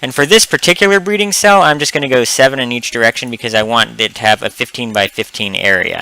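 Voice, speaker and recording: Noticeable background noise surrounds a man whose pitch swings very widely. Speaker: gaming video creator. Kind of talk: gameplay commentary. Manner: hesitant, many ums; casual conversational.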